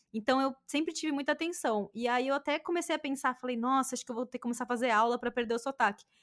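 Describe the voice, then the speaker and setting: With a Brazilian accent and a high voice, a woman talks at a very fast pace with hardly any pauses, in a dry, close sound with no echo on a very clean recording with a silent background. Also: ordinary pitch variation. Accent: Brazilian accent in English, reduced. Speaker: podcast host. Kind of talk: casual chat.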